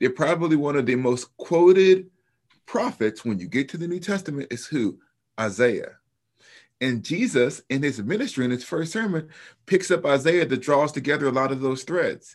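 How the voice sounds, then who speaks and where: On a very clean recording with a silent background, a man with a fairly high pitch and a normal speaking voice talks with lively intonation in an American accent. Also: moderate pace. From US South, Alabama. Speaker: New Testament professor and author. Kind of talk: interview.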